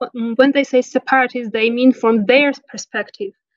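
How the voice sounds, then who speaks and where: With an Armenian accent, a woman with a high voice talks at a moderate pace, recorded dry and close with no echo. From Nagorno-Karabakh (Artsakh). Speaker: interview guest, local resident. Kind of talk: interview. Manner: halting, many fillers and self-corrections.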